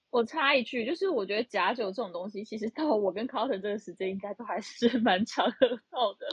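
A woman talks fast with hardly any pauses, in an unremarkable speaking voice of fairly high pitch with ordinary pitch variation. Her loudness swings widely. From Taiwan, Tainan. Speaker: accountant. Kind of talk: casual chat. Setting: online audio room.

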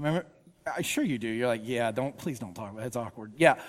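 A man speaks with a Georgia accent and lively intonation. The recording is very clean, with a silent background. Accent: Southern American (Georgia). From US South, Georgia (Woodstock). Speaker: pastor, author. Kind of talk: sermon. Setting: church with congregation. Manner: casual, conversational with fillers.

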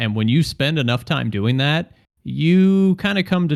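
A man speaks with very wide pitch swings. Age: 30s. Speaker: podcast co-host. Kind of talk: casual chat.

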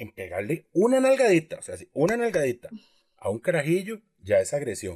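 A man speaks with a Costa Rican accent in a dry, close sound with no echo. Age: 30s. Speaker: podcast co-host. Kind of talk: casual chat.

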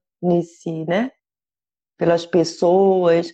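A woman's dark, mellow tone. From Brazil. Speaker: cannabis activist and content creator. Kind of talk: interview.

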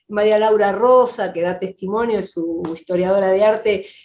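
In a Rioplatense accent, a woman speaks at medium pitch and a moderate pace with fairly even intonation against a quiet background. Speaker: film director. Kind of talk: interview.

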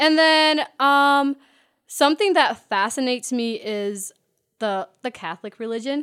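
On a very clean recording with a silent background, a woman with an American accent speaks at a high pitch and a fairly slow pace with lively intonation. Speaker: podcast co-host. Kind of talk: casual chat. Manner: chipper.

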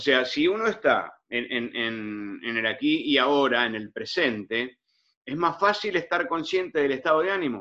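This man talks at a fairly slow pace in a fairly high, bright and sharp voice, with very wide pitch swings. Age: 70s. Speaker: audience participant. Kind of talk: question from audience. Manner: halting.

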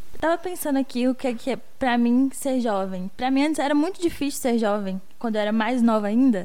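A woman speaks at a high pitch with lively intonation and hardly any pauses. Her tone is dark and mellow, and the room echo is audible. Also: fairly quick pace. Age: 20s. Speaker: podcast co-host, youth researcher. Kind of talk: casual chat.

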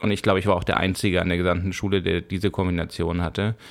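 A man speaks in a very deep, low voice. His pace is very fast. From Bavaria, Germany (Fürstenfeldbruck), with five childhood years in Spain. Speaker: YouTuber, director and animator. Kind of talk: interview. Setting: studio.

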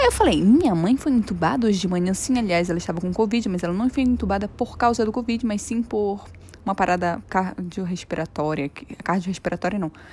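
Somewhat breathy, a woman speaks at a fairly quick pace with medium pitch and ordinary pitch variation. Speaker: podcaster. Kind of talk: personal testimony. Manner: halting.

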